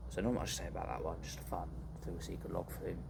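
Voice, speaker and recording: A man's voice carries audible room echo. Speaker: vlogger. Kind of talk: casual chat. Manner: animated. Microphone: too quiet.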